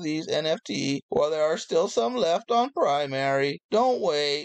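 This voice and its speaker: A man uses a put-on character voice that sounds robotic, with a fairly high pitch. His delivery is fairly slow and upbeat in tone. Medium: solo performance. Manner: upbeat salesy, robotic beeps.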